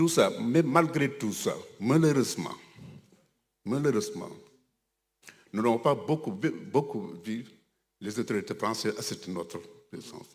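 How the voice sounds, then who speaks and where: A man speaks at medium pitch with very wide pitch swings. His pace is fairly slow. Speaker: religious community leader. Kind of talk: ceremony speech. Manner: halting.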